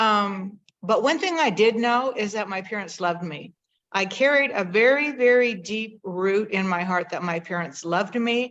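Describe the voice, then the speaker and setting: Speaking at a medium pitch and moderate pace, a woman with an unremarkable speaking voice uses lively intonation. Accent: American. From Northern California. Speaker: host of a conversation video. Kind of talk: personal storytelling to an audience.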